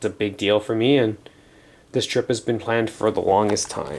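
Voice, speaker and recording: A man with a medium-pitched voice and fairly even intonation speaks fairly quickly. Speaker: vlogger. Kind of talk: casual vlog.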